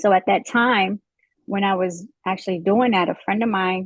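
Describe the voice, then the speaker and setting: A woman speaks with a slight Southern US accent. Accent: slight Southern twang. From Midwest US, St. Louis. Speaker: police officer. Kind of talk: interview. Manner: hesitant, many fillers.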